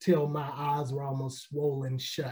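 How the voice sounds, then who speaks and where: A man with an American accent, a fairly high pitch, a somewhat breathy quality and a dark, mellow tone. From Chicago. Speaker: pastor and author. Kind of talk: interview.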